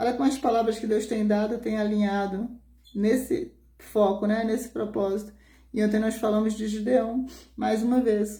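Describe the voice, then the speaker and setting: A soft-spoken woman talks at a fairly high pitch with fairly even intonation. Her tone is dark, mellow and somewhat breathy, with audible room echo around it. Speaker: pastor. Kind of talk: sermon.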